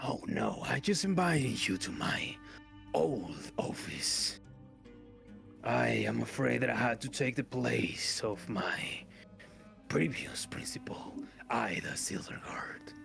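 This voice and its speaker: Over clear background music, a man whispers in a put-on character voice at a fairly slow pace. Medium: actual play. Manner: formal, polite.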